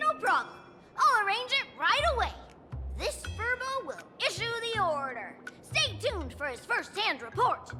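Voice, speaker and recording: A put-on character voice at an extremely high pitch and a moderate pace, with loud music in the background. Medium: video game. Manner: fawning, eager.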